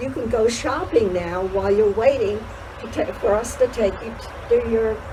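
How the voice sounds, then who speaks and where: Speaking at a fairly slow pace, a woman is heard against noticeable background noise. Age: 90s. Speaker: horse show volunteer. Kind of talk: casual interview. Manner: halting.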